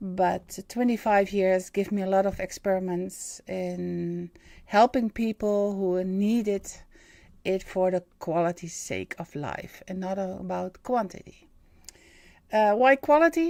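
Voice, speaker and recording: A woman speaks in a Dutch accent with a dark, mellow tone. Her pace is fairly slow and her pitch varies in an ordinary way. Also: medium pitch for a woman. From Netherlands. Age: 50s. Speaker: spiritual medium and live-stream host. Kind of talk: live stream monologue. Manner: halting, many fillers.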